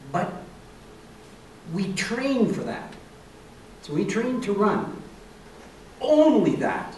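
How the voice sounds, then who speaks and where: A man's high-pitched voice at a very slow pace, lively in intonation, with long, frequent pauses, audible room echo and noticeable background noise. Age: 80s+. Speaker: senior sprinter. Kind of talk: interview. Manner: halting, many repetitions.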